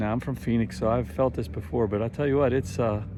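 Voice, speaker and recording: Lively intonation and vocal fry mark this man's voice, which has a dark, mellow tone. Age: 50s. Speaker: travel vlogger. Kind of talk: casual travel vlog narration. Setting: outdoors in desert heat. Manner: casual, halting with fillers.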